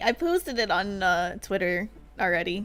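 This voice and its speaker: Background music plays throughout. The speaking goes at a very slow pace. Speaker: vtuber streamer. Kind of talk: casual gaming stream chat. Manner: quiet; chatty.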